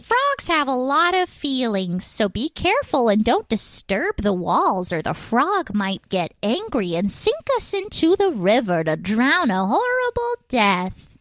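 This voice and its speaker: A woman uses a put-on character voice, high in pitch with very wide pitch swings. She speaks with hardly any pauses. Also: fairly slow pace. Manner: ominous, dramatic.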